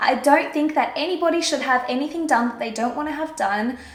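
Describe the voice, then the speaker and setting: A woman talking at a very fast pace with ordinary pitch variation, amid noticeable background noise and audible room echo. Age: 20s. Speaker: beauty vlogger. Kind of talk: casual chat. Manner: chatty, animated.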